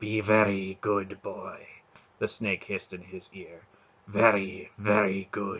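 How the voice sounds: A raspy, hissing put-on character voice from a man at a fairly slow pace. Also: fairly low pitch for a man.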